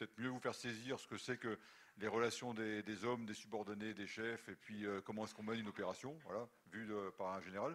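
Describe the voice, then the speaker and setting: The speech from this man is very fast. His voice sits fairly low. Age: 60s. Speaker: retired army general. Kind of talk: lecture. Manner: halting.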